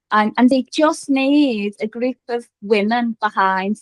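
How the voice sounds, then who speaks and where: A woman speaks with a strong Liverpool accent at a fairly high pitch, her pitch varying in an ordinary way. The sound is dry and close, with no echo. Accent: strong Scouse. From Liverpool, northern England. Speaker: business founder and coach. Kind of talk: podcast interview.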